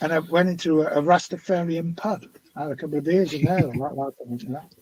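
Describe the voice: In a West Country accent, the speaker talks at a fairly quick pace with fairly even intonation and a slightly mellow tone. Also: man, fairly high pitch for a man.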